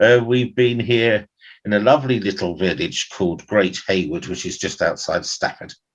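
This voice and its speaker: Speech at a moderate pace in a southern English accent. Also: man, medium pitch for a man, ordinary pitch variation. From London, England. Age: 60s. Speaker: actor. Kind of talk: interview. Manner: hesitant.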